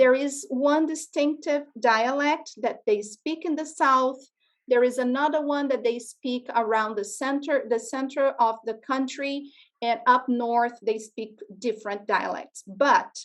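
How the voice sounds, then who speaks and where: In a Portuguese accent, a woman talks at a high pitch and a fairly slow pace, with ordinary pitch variation against a quiet background. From Brazil. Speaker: educator presenting to school classes. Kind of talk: classroom presentation to children.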